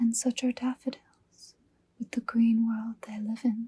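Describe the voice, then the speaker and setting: At a fairly slow pace, someone speaks in a soft-spoken whisper. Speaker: ASMR creator reading poetry. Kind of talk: poetry reading. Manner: whispered, soft-spoken.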